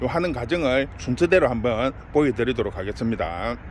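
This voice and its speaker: Speaking at a moderate pace, a man uses lively intonation over noticeable background noise. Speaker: succulent nursery owner. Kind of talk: tutorial. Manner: casual.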